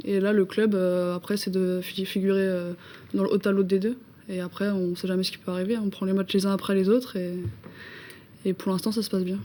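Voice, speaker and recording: At a fairly quick pace yet with long, frequent pauses, a woman with a dark, mellow tone speaks at medium pitch in a monotone, flat intonation. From Brittany, France (Saint-Brieuc). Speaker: women's football player. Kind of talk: TV interview. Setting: TV studio.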